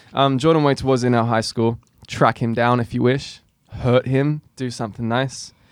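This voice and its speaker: Here a man speaks in an Australian accent. His pace is fairly slow and his intonation fairly even. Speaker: podcast host. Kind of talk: casual chat.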